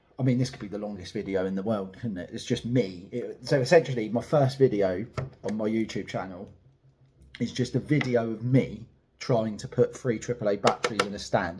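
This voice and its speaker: A somewhat breathy man at a fairly quick pace, with big swings in loudness. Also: medium pitch for a man, ordinary pitch variation. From UK. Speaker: collectible figure reviewer. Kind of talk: live unboxing review. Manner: casual, frustrated rambling.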